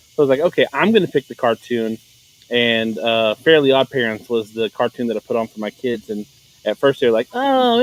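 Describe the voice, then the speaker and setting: His pace is very fast. The man keeps a medium pitch and fairly even intonation. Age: 30s. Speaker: podcast guest. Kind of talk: casual chat. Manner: halting.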